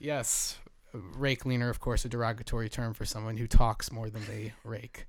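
A man's medium-pitched voice with an American accent, monotone, flat intonation, and big swings in loudness. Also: moderate pace. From Jersey Shore, New Jersey. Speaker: podcast host, program manager at an artist residency. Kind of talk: casual chat. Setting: small home studio in a bedroom.

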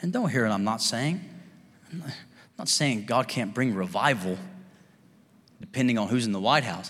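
Speaking with a Kentucky accent, a man talks at a fairly quick pace, his medium-pitched voice carrying lively intonation. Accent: Southern US (Kentucky). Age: 30s. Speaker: pastor. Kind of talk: sermon. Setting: church with live congregation. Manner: animated, fervent preacher in full flow, urging the congregation to respond with amens.

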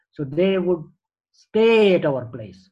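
This man sounds somewhat breathy. His pitch varies in an ordinary way. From Tanzania, Indian family. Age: 70s. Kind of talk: life story interview.

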